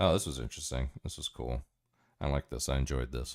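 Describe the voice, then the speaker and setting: Very clean and recorded against a silent background, this man's voice sits very deep and low, with an American accent. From US, Miami. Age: 40s. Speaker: streamer. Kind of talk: livestream commentary. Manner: animated.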